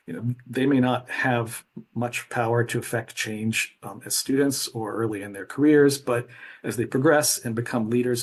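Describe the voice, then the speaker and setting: Somewhat breathy and at medium pitch, a man speaks with monotone, flat intonation. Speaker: librarian presenter. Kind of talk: conference presentation. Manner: fast; hesitant, many fillers.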